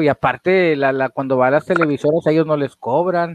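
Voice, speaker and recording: With a Mexican accent, a man talks at a fairly high pitch in a dry, close recording that has no echo. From Mexico. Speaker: paranormal podcast host. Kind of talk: casual interview. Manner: halting, many repetitions.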